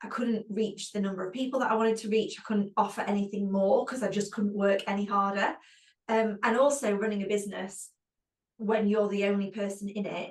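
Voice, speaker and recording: A woman with a British accent speaks at a fairly quick pace. Her medium-pitched voice is monotone, with flat intonation. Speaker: physiotherapist and clinic owner. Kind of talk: webinar panel discussion.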